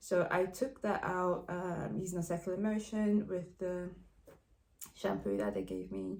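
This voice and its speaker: A dark, mellow tone marked by vocal fry. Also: woman. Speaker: vlogger. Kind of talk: personal video update. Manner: fast; hesitant, many fillers.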